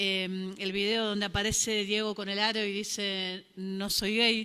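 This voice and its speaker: Speaking in a Rioplatense accent, a woman with a medium pitch and a bright, sharp tone keeps a flat monotone on a very clean recording with a silent background. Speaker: panel moderator. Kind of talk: panel discussion.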